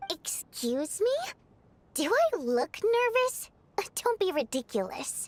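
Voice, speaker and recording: Using a put-on character voice, a woman speaks fairly slowly at an extremely high pitch, swinging very widely in pitch and taking long, frequent pauses. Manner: defensive, indignant.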